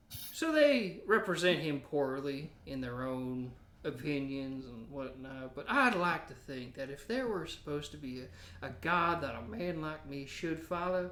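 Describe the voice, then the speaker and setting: A man's put-on character voice, drawling at a moderate pace with a fairly high pitch and lively intonation. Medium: actual play. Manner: folksy, drawling.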